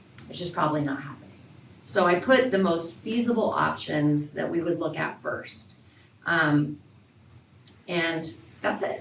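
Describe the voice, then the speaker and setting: A woman's fairly low, lively voice at a fairly slow pace, with big swings in loudness, long and frequent pauses, and audible room echo. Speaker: school staff presenting to board. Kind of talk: board meeting presentation.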